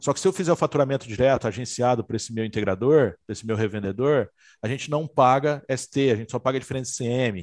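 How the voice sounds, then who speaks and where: A man talks at a very fast pace, his medium pitch showing ordinary variation. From interior of São Paulo state, Brazil. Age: 40s. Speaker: security equipment distributor executive. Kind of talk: casual chat. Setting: video call.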